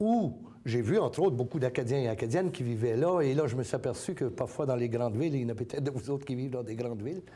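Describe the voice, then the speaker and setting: Rushing at a very fast pace, a man speaks at a medium pitch in a dark, mellow tone with ordinary pitch variation. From Acadia, New Brunswick. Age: 60s. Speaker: community organization president. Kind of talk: interview. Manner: hesitant with many fillers.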